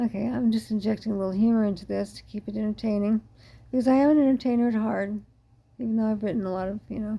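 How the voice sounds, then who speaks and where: A woman's fairly high, somewhat breathy voice with a dark, mellow tone at a very fast pace. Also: ordinary pitch variation. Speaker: ME patient advocate. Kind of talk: monologue talk.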